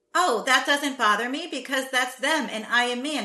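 A woman with an American accent talks at a fairly slow pace in a bright, sharp tone. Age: 30s. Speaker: podcast co-host. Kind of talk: casual roundtable discussion. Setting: remote call.

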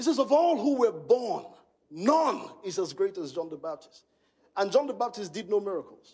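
A man speaks with a Nigerian accent at a moderate pace, his voice high and animated. His pitch swings very widely and his loudness rises and falls sharply. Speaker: pastor. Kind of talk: sermon. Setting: stage with audience.

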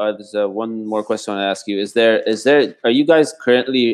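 A man with ordinary pitch variation and an Arabic accent. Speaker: podcast host. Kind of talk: interview.

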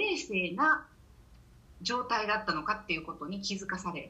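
Amid noticeable background noise and audible room echo, a woman's voice moves through very wide pitch swings. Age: 50s. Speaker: menopause course instructor. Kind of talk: casual interview.

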